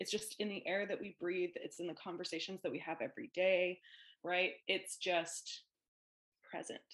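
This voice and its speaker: A woman with a Canadian accent and an unremarkable speaking voice talks at a moderate pace, her medium pitch held in fairly even intonation. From Ontario, Canada (Ajax, near Toronto). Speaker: social worker and therapist. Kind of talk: casual interview chat.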